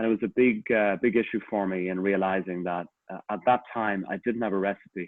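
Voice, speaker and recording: Speaking fairly quickly with a strong Irish accent, a man holds a fairly low pitch and fairly even intonation. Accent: Irish, a little stronger than usual. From Ireland. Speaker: executive coach. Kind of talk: online talk / testimony.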